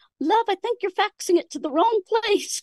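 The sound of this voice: A woman's put-on character voice in an Australian accent, at an extremely high pitch and a moderate pace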